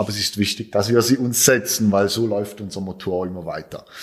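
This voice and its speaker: A man speaks with ordinary pitch variation. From Switzerland. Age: 20s. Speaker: cancer survivor, amputee. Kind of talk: interview. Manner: halting.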